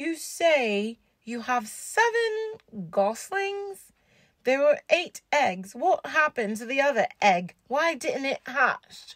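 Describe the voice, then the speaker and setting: A female-sounding, put-on character voice, high in pitch, takes a very slow pace with very wide pitch swings. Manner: suspicious, accusing.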